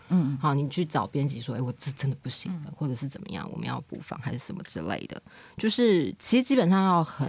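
Her pitch is very deep and low for a woman, with very wide swings and vocal fry. This woman speaks at a fairly quick pace. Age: 30s. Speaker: editor and company director. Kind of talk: casual interview chat.

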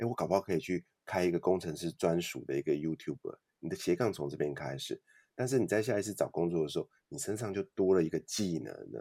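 A man with a very deep, low pitch and a dark, mellow tone talks at a very fast pace, his intonation lively. Vocal fry runs through it, and the sound is dry and close with no echo. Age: 40s. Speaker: author and podcaster. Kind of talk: interview.

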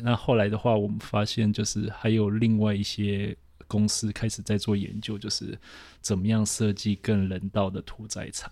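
Recorded very cleanly against a silent background, a man with a dark, mellow, fairly low voice speaks at a moderate pace. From Taiwan, then South Africa from age 12. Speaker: urban planner. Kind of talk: casual interview.

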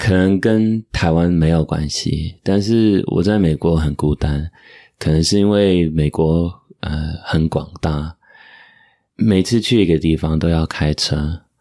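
A man with a Taiwanese accent, very deep, low pitch, dark, mellow tone, ordinary pitch variation, very even loudness and a very slow pace, in a very clean recording with a silent background. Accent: near-native Taiwanese Mandarin. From US (Michigan, then New Jersey), Indian-American family. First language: English (speaking Chinese). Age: 20s. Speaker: podcast guest, Chinese learner and editor. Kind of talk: casual chat.

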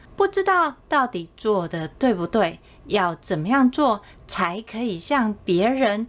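At a very slow pace, a woman speaks in a fairly high pitch with very wide pitch swings. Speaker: sales coach and podcast host. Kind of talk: solo podcast talk.

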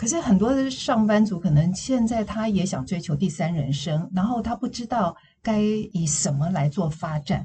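At a moderate pace and with hardly any pauses, a woman speaks at a medium pitch, somewhat breathy, with lively intonation. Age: 60s. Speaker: counseling psychologist and former news anchor. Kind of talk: interview podcast.

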